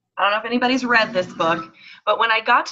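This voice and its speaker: Loud and bright with a sharp tone, a woman speaks with lively intonation. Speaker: network marketing leader and event organizer. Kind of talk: talk on a team conference call. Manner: animated.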